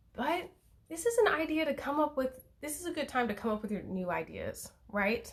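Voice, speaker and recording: A woman speaks in a somewhat breathy voice. Her intonation is lively. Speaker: tarot reader. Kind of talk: live stream tarot reading. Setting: Instagram live stream at home. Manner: fast.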